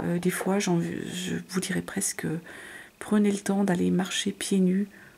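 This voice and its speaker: Soft-spoken delivery at a very slow pace. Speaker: tarot reader. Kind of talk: tarot reading. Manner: soft, hard to hear; hesitant, many fillers.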